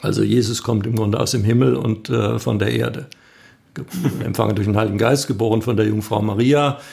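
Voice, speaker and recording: The speaker talks at a fairly quick pace with very even loudness and ordinary pitch variation. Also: man, fairly low pitch for a man. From northern Baden, southern Germany. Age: 50s. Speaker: pastor, candidate for church office. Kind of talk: interview. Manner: hesitant, many fillers.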